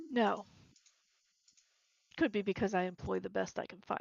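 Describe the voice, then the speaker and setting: A raspy put-on character voice from a woman at medium pitch, moderate in pace, with big swings in loudness. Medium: actual play. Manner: curt, dry, self-assured.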